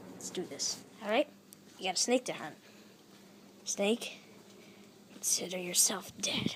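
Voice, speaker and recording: A raspy, cartoonish character voice that sounds female sits at a middle pitch, with long, frequent pauses and light background noise. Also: moderate pace. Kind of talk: puppet show dialogue. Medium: puppet.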